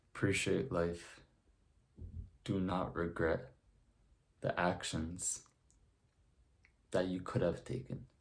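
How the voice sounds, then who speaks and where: A man with a very deep, low, somewhat breathy voice speaks at a very slow pace with long, frequent pauses and ordinary pitch variation. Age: young. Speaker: self-improvement content creator. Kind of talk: motivational talk to camera.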